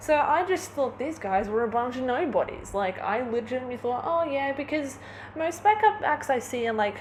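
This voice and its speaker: An animated woman talks at a moderate pace with very wide pitch swings over noticeable background noise. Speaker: vlogger. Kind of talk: casual vlog monologue.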